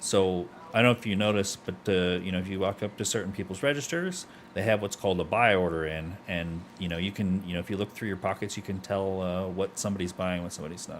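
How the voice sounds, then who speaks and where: Speaking very fast, a man uses a very deep, low pitch and fairly even intonation. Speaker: streamer playing a roleplay game. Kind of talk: casual gameplay chat. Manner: halting, many fillers and repeats; laid back.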